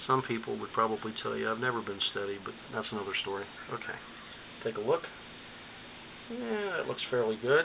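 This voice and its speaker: Against noticeable background noise, a man talks at a fairly quick pace but with long, frequent pauses. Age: 60s. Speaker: DIY electronics hobbyist. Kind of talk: tutorial. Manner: casual, hesitant with fillers.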